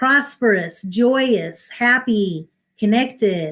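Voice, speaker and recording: Ordinary pitch variation comes through a somewhat breathy voice. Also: woman. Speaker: minister and spiritual coach. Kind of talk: inspirational talk.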